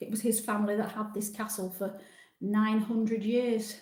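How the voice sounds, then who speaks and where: A woman speaks with a Yorkshire accent at a fairly high pitch. Audible room echo surrounds her voice. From Yorkshire, northern England. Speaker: travel vlogger. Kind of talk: live stream chat with viewers. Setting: live stream from a different room at home. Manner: casual, chatty.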